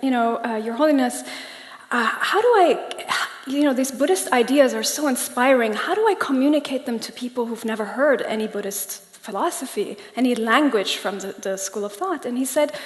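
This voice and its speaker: With a Persian accent, a woman talks at a fairly quick pace and a high pitch, with noticeable background noise and audible room echo. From Germany, Iranian family. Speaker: coach. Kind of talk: public talk. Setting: stage with audience.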